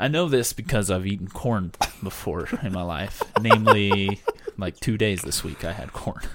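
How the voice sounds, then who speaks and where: A man with an American accent speaks with a plain, everyday voice, at a fairly low pitch and a moderate pace, with lively intonation. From US Southwest. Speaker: podcast co-host. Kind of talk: casual chat. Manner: laughs often.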